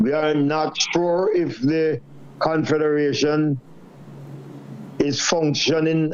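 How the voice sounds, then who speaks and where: A man's fairly high-pitched voice at a very slow pace, with fairly even intonation, against noticeable background noise. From Jamaica. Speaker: trade unionist. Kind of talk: panel discussion.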